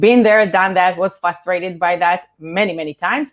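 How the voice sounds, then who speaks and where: A woman with a non-native accent and ordinary pitch variation. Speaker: startup co-founder and marketing executive. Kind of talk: webinar presentation. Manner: fast.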